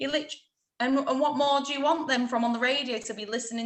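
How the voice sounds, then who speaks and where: A woman speaks with a Lincolnshire accent at a high pitch. Her pace is very fast. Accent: Grimsby. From Grimsby, northern England. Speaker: radio presenter. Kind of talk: casual interview chat. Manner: animated.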